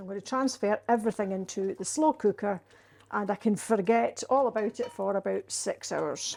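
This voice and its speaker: A woman speaks at a moderate pace with a Scottish accent. Her pitch sits fairly high and varies in an ordinary way. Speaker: home cook. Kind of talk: cooking demonstration to camera. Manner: casual, homely.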